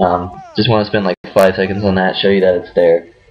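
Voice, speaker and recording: A man's voice with music in the background. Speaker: gaming strategy youtuber. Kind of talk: video game tutorial. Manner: casual with frequent fillers.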